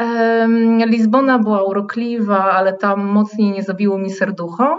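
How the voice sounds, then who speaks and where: A woman's fairly high-pitched voice, an ordinary speaking voice, with fairly even intonation. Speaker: tour guide and guesthouse host. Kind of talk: interview.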